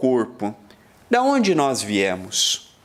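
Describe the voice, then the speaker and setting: The man's pitch swings very widely. He speaks very slowly. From Brazil. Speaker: spiritist lecturer. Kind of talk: lecture.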